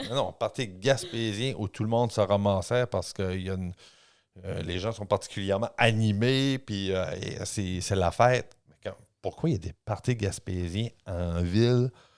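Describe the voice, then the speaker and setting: Speaking at a fairly slow pace, a man uses an ordinary speaking voice with a fairly low pitch and ordinary pitch variation, captured in a very clean recording with a silent background. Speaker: historian and author. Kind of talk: casual podcast discussion.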